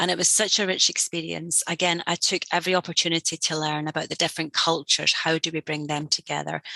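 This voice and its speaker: Very fast with hardly any pauses, a woman's fairly low pitch has a bright, sharp tone, vocal fry and monotone, flat intonation. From Scotland. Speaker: learning and development executive. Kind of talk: interview.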